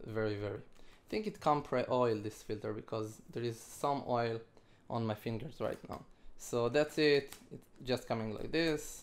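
A man with a non-native accent, at a fairly slow pace and with ordinary pitch variation. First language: not English. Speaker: ATV rider. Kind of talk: casual product review to camera. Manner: hesitant, mumbling. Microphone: phone near.

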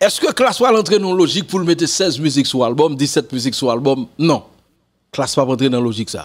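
With a Haitian accent, a man talks at a fairly quick pace, his fairly high pitch carrying lively intonation. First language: Haitian Creole (speaking French). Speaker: music commentator. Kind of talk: casual commentary to camera. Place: home room. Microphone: studio mic.

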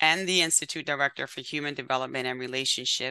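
With a bright, sharp tone and a very deep, low pitch, a woman talks against a quiet background in a dry recording with no echo. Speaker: webinar host. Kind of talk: event introduction and welcome remarks. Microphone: webcam.

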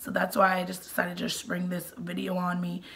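A woman talks fairly fast over noticeable noise in the background. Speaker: mommy vlogger. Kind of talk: casual vlog talk. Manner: hesitant, many fillers.

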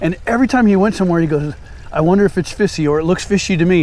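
A man with a high pitch talks at a very fast pace. His pitch varies in an ordinary way, and the sound is dry with no echo. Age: 50s. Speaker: fishing YouTuber. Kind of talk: casual vlog narration. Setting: outdoors. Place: waterside.

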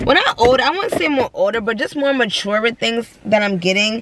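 A woman speaks at a moderate pace with a high voice. The sound is dry with no echo, and there is noticeable background noise. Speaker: vlogger. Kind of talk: casual vlog chat. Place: car. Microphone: phone near.

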